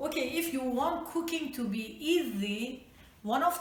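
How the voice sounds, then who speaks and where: Over noticeable background noise and audible room echo, a woman with a Persian accent talks at a fairly slow pace using lively intonation. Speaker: home cook. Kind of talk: cooking tutorial.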